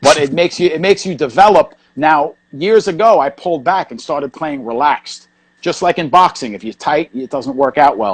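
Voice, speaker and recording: In a dry, close recording with no echo, a man with a New York accent talks fairly quickly at a fairly high pitch, with hardly any pauses, lively intonation and big swings in loudness. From New York, Queens. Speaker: hardcore punk bassist. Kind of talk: casual interview. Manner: fast.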